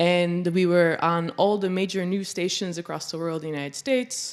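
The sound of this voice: A woman speaks at a fairly low pitch with a clear, smooth tone. The recording is very clean, with a silent background. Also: ordinary pitch variation, moderate pace.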